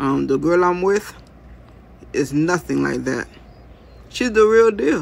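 A cartoonish character voice with lively intonation, a slightly husky edge and vocal fry. It moves at a slow pace.

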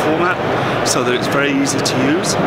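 Loud background noise runs behind the recording. A man speaks at a moderate pace with ordinary pitch variation. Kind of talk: interview answer. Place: hall.

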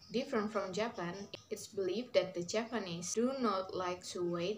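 A woman speaks with an Indonesian accent at a moderate pace, with ordinary pitch variation. Light background noise is audible. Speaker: university student. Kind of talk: class presentation video. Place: home room. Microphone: phone near.

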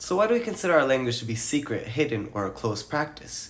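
Very fast pace from a somewhat breathy man with lively intonation. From Romani community. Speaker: Romani history educator. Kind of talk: educational narration.

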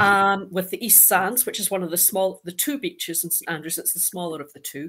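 A woman is speaking. The background stays quiet. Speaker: guest. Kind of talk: panel talk, descriptive storytelling. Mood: warm, humorous. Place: home room.

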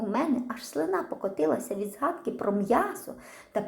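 The voice here is an unforced reading voice.

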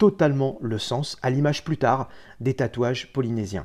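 Against a quiet background, a man talks at a moderate pace with a dark, mellow tone. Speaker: tattoo artist; history documentary host. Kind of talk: scripted narration. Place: home room.

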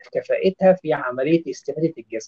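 A man talks against a quiet background, the sound dry with no echo. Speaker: nutrition specialist doctor; guest. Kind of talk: expert interview. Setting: video call from Doha. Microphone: phone near.

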